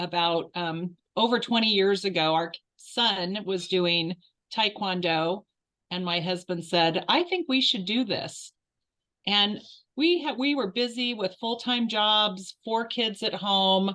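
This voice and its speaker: A woman's plain, everyday voice at a medium pitch, fairly slow, with lively intonation. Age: 60s. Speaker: martial arts and Qigong instructor. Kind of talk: interview. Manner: casual with fillers.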